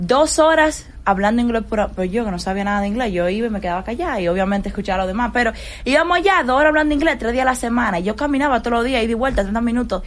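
A woman speaks very fast with hardly any pauses, her voice fairly high and lively in intonation. Audible room echo surrounds her. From Dominican Republic, Santo Domingo. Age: 20s. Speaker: financial analyst. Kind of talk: interview. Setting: studio.

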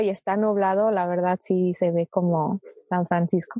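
A woman with a Mexico City accent speaks at a fairly slow pace in a dark, mellow tone. The sound is dry and close with no echo. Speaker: guest. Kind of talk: casual chat.

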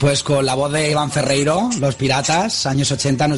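A man speaks at a moderate pace in a fairly high voice, with noticeable background noise behind him. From Spain, Alicante (Dénia). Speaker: radio host. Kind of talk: casual radio chat.

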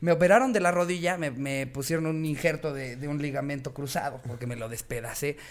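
Over noticeable background noise, a man speaks at a fairly high pitch and a fairly quick pace, with hardly any pauses. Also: ordinary pitch variation. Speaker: comedy podcast host. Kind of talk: casual chat.

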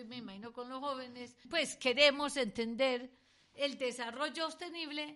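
Raised and projected, a woman's high voice carries a bright, sharp tone with ordinary pitch variation. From Colombia. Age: 60s. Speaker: economist and university researcher. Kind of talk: educational interview.

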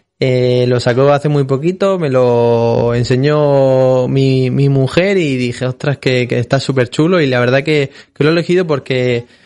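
The delivery is fairly slow and very even in loudness, with fairly even intonation and hardly any pauses. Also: man, medium pitch for a man. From Spain, Murcia (Molina de Segura). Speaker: fitness centre owner. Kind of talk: interview. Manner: halting, frequent repetitions.

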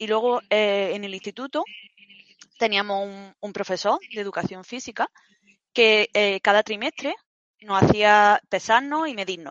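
A woman's medium-pitched voice at a fairly slow pace, with ordinary pitch variation, big swings in loudness and long, frequent pauses. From Spain, Granada (Andalusia). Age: 30s. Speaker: fitness program client. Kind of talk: interview, personal testimony. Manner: halting, repetitive fillers.

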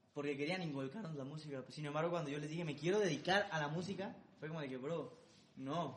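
Audible room echo surrounds a man with a fairly high voice who talks at a very fast pace with ordinary pitch variation. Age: 20s. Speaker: singer-songwriter and music producer. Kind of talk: interview.

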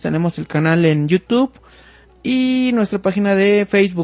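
With a dry, close sound and no echo, a man speaks in a high pitch with ordinary pitch variation. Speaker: podcast host. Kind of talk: casual chat. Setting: live stream. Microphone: faulty mixer audio problems.

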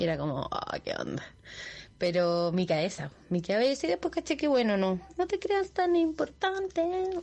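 A woman speaks with a high pitch. Her voice swings very widely in pitch. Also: moderate pace. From southern Chile, Los Ángeles. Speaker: listener sending voice message. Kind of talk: recorded voice message.

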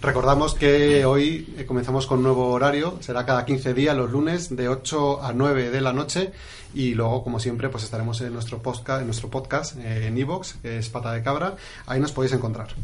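Here is a plain, everyday voice from a man at medium pitch. He keeps a moderate pace and fairly even intonation. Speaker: radio host. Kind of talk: casual chat. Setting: studio.

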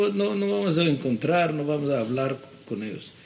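There is audible room echo around this man's voice. He speaks with an Israeli accent at a fairly high pitch. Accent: Israeli-accented Judeo-Spanish. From Israel, Jerusalem. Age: 70s. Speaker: ministry director. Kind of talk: interview. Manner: halting.

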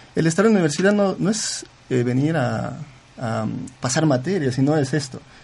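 A man talks at a moderate pace. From Zamora province, Ecuador. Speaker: student entrepreneur. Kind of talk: radio interview. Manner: halting, many repetitions.

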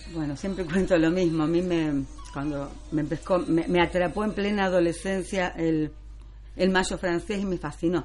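In an ordinary speaking voice, a woman talks at a moderate pace with a fairly low pitch and fairly even intonation. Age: 60s. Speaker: French teacher. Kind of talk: radio interview.

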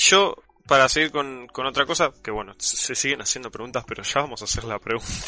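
A man speaks fairly quickly with a Rioplatense accent. His pitch is medium with ordinary variation. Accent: Argentine Spanish (rioplatense). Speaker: podcast host and streamer. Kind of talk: casual live-stream chat. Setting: call.

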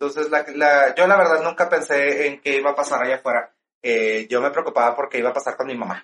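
A very fast man's voice, fairly high in pitch, with ordinary pitch variation. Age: 40s. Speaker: drag performer and stage actor. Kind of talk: casual interview chat.

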